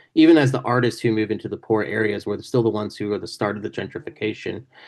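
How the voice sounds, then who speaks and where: With an American accent, a man speaks in a fairly low pitch with ordinary pitch variation over a quiet background. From Indiana, US Midwest. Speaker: author. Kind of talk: panel Q&A talk. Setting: video call.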